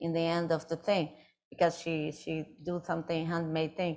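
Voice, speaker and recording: A woman's fairly low voice with a Brazilian Portuguese accent at a moderate pace. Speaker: artist. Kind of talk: audience Q&A at a live talk. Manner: halting.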